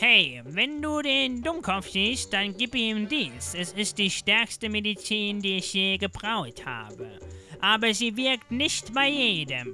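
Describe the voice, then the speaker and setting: A put-on character voice at a fairly slow pace over clear music in the background. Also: man, high pitch for a man. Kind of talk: comic game-text reading. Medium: solo performance. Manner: scolding, brusque.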